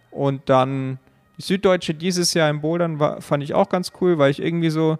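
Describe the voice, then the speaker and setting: An unremarkable speaking voice, this man's fairly high pitch moves along at a fairly quick pace with fairly even intonation. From Allgäu, Bavaria, Germany. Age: 20s. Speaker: competitive climber. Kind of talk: interview. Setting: climbing gym.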